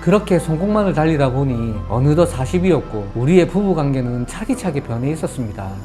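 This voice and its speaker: A man talks at a fairly quick clip in a fairly high voice with lively intonation, while music plays in the background. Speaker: story narrator. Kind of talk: story reading.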